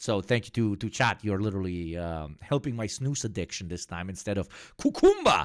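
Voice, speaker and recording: An animated man with lively intonation at a fairly quick pace, on a very clean recording with a silent background. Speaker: political streamer. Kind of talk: livestream chat. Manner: loud.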